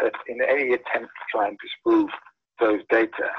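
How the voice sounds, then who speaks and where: A man with a British accent, at a moderate pace. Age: 50s. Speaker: scientist. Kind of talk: interview. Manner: halting.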